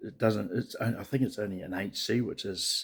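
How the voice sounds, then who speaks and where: A man with a New Zealand accent speaks quietly at a moderate pace, with fairly even intonation. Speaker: vlogger, truck driver moving abroad. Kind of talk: casual video diary. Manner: speaking quietly; halting, many fillers.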